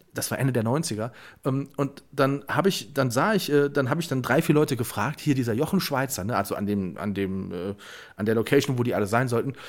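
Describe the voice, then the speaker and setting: On a very clean recording with a silent background, a man with an unremarkable speaking voice talks at a fairly quick pace and medium pitch with lively intonation. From Germany, Westerwald. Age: 30s. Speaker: podcast co-host. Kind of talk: casual chat.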